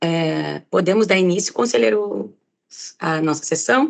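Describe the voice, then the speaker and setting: A woman speaking at a fairly slow pace. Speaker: council president chairing meeting. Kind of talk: formal meeting proceedings. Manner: formal.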